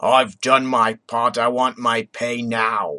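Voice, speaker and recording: Putting on a character voice in a strong Cockney accent, a man speaks at medium pitch and a fairly slow pace with fairly even intonation, the sound dry and close with no echo. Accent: thick Cockney. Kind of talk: rough, working-class.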